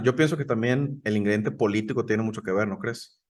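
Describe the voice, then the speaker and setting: This man has a northern Mexican accent and a medium pitch. His pitch variation is ordinary. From northern Mexico. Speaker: podcast co-host. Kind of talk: casual chat.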